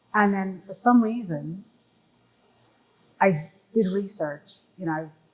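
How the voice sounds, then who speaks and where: Somewhat breathy, a woman at a medium pitch talks at a fairly slow pace with ordinary pitch variation. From Jamaica. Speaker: artist. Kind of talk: interview.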